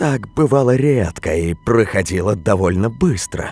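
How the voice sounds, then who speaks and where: A man is speaking. He goes at a very slow pace. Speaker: audiobook narrator of scary stories. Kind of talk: scripted horror story narration, reading aloud. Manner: hushed, eerie, slow and tense, building dread; shifts between voices: hoarse old witch, frightened young man.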